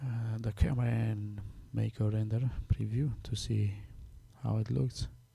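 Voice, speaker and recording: A speaker with a non-native accent talks at a fairly slow pace with long, frequent pauses and ordinary pitch variation. The voice is somewhat breathy with a dark, mellow tone. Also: man, fairly low pitch for a man. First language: Romanian. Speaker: software tutorial maker. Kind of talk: tutorial. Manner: halting, many fillers.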